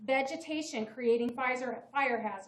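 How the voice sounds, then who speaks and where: Loud and high-pitched, a woman's voice comes through. She keeps a moderate pace. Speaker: town code enforcement officer. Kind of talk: staff presentation to town council. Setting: town council meeting.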